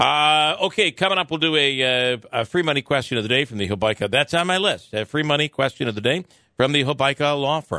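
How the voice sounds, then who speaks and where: A man's voice with vocal fry, lively intonation and a fairly quick pace. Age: 50s. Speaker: morning radio host. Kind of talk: news reading; casual chat.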